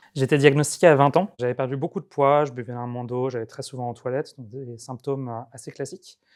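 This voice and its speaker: Against a quiet background, a man speaks with a plain, everyday voice. His pitch is medium and his intonation fairly even. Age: 30s. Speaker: patient sharing testimony. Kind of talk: testimony.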